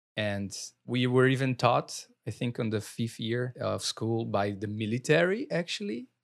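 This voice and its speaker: A man with a Brazilian accent speaks at a fairly slow pace, his medium pitch showing ordinary variation. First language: Portuguese. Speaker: podcast host. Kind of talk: interview. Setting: video call.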